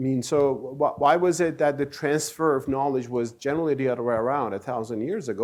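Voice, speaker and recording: Here is a man with a Turkish accent and a fairly high pitch. The recording is very clean, with a silent background. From Turkey. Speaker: author and speaker on Islam. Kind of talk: lecture.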